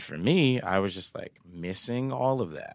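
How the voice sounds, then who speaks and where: In a very clean recording with a silent background and a dry, close sound free of echo, a man with an American accent speaks with ordinary pitch variation. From Florida, Bradenton. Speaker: musician. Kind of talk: casual chat.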